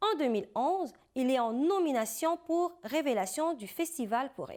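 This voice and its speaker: A woman speaks at a fairly slow pace, her high pitch making very wide swings. The recording is very clean, with a silent background. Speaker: TV interview host. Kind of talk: TV show introduction.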